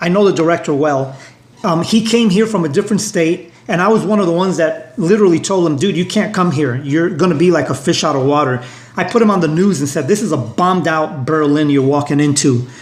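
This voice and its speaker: A man with a Brooklyn accent talks very fast in a high voice, with noticeable background noise and audible room echo. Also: ordinary pitch variation. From New York (Brooklyn). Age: 60s. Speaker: union leader. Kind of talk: interview discussion.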